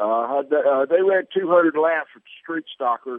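Speaking at a moderate pace, a man with an unremarkable speaking voice has a fairly high pitch and ordinary pitch variation. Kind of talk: casual sports chat. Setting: phone call.

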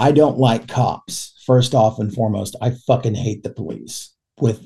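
A man with an American accent speaks at a medium pitch and a fairly slow pace, his dark, mellow tone somewhat breathy and his intonation fairly even. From Oklahoma, Oklahoma City area. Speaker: podcast host, recovering addict. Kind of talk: casual interview chat.

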